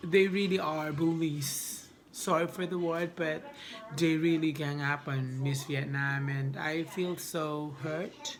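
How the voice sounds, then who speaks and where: The speaker has a non-native accent and talks at a very slow pace with fairly even intonation. Noticeable background noise and audible room echo are present. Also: woman, very deep, low pitch for a woman. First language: not English. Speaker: beauty pageant vlogger. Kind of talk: casual vlog commentary. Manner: halting, many restarts.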